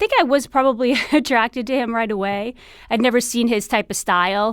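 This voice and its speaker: A woman speaks with a strong New York accent at a fairly quick pace. The recording is very clean, with a silent background. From New York City, Queens. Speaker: TV producer, expectant mother. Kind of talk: interview conversation.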